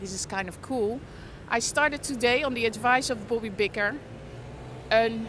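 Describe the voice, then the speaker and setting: A woman at a fairly slow pace, dry sound with no echo, and noticeable background noise. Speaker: livestreaming vlogger. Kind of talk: casual livestream chat. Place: street. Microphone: phone near.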